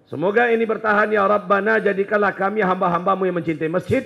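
Talking at a very fast pace, a man sounds animated. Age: 40s. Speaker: Islamic preacher. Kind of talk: sermon. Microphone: handheld.

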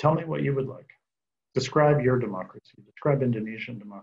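Here a man talks at a very fast pace with an American accent. His voice is somewhat breathy. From United States. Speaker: democracy scholar; panelist. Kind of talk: panel discussion. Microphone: video call.

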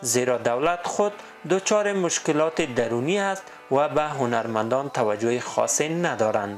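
With music in the background, a man speaks fairly slowly at a fairly high pitch, his intonation lively and his loudness very even. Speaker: news reporter. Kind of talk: news report narration.

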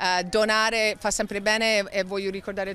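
A woman speaks with a non-native accent and monotone, flat intonation. The sound is dry with no echo. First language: not Italian (speaking Italian). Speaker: fitness instructor; fitness instructor at charity event. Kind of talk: interview. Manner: halting. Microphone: handheld.

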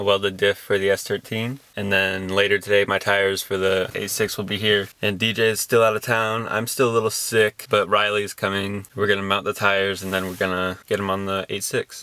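With hardly any pauses, a man speaks in a monotone, flat intonation at a fairly low pitch. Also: moderate pace, dry sound with no echo. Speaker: car hobbyist vlogger. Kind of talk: casual vlog chat. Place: car. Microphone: phone near.

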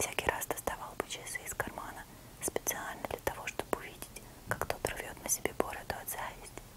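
A woman whispering at a moderate pace. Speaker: ASMR creator. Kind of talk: whispered audiobook-style literary reading. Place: home room. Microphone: lapel.

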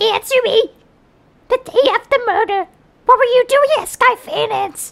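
A put-on character voice at an extremely high pitch runs at a moderate pace. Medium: dub. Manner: aggressive, shouting.

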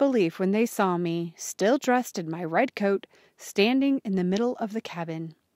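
Unforced reading voice

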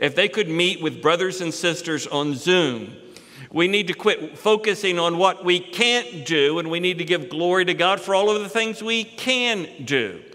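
A man speaks at a moderate pace in a high pitch. His pitch variation is ordinary. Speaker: preacher. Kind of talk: sermon. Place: church. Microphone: headset.

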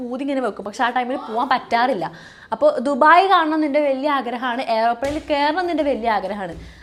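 Noticeable background noise surrounds a woman speaking. Her voice is high, with ordinary pitch variation. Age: 20s. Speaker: YouTuber and aviation student. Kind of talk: casual vlog monologue.

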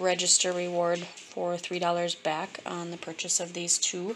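There is light background noise as a woman with a fairly low pitch speaks at a moderate pace. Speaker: couponer. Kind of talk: casual shopping haul talk to camera. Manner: monotone, flat. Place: kitchen. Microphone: phone near.

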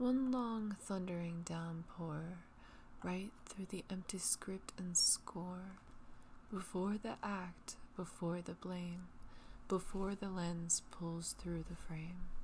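A woman's soothing tone, very slow and fairly even in intonation. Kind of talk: poetry reading. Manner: soothing, relaxing.

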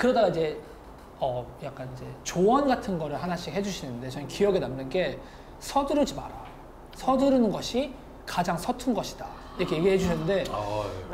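A man with a high voice talks at a fairly quick clip over light background noise. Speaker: guest. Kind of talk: interview answer. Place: studio. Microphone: lapel.

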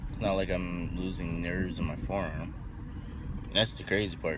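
Noticeable background noise behind a man talking fairly slowly. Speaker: vlogger. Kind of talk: casual vlog chat. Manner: sluggish, half-asleep speech. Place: car. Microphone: phone near.

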